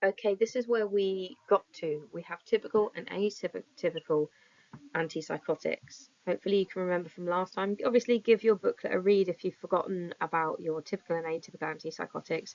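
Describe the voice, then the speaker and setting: The delivery is fairly quick. It carries an English accent. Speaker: psychology teacher. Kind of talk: recorded lesson.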